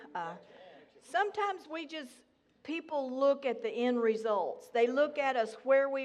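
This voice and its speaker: A woman's voice with a Southern US accent, lively intonation and a fairly slow pace. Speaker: guest speaker at church. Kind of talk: sermon / testimony. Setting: church with congregation.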